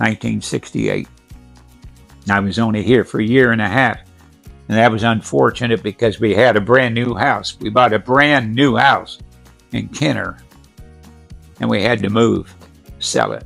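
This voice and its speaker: Medium-pitched male speech broken by long, frequent pauses, with music in the background. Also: ordinary pitch variation, moderate pace. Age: 80s+. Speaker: retired tire company manager. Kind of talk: interview answer.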